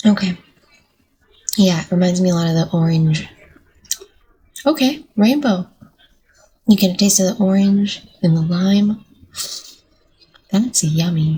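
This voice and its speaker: With a dark, mellow, somewhat breathy tone, a woman speaks at medium pitch and a fairly slow pace, leaving long, frequent pauses and using ordinary pitch variation. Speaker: paranormal reaction YouTuber. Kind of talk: casual reaction vlog chat. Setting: at home, recording early morning. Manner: soft-spoken.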